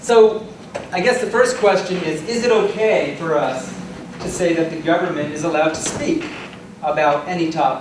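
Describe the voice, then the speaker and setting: A loud man with a high pitch and lively intonation speaks at a moderate pace, with noticeable background noise and audible room echo. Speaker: law professor debater. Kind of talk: debate speech. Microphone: projecting without a working mic.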